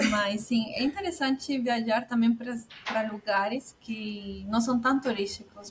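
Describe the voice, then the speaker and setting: A woman speaks with a Spanish accent and a fairly high voice. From Peru. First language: Spanish (speaking Portuguese). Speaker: immigrant entrepreneur. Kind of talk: casual interview chat. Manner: halting, self-correcting.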